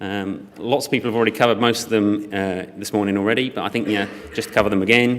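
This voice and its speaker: A man is heard over noticeable background noise. Audible room echo surrounds his voice. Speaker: e-commerce operations director. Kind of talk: conference talk. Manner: loud; hesitant with fillers.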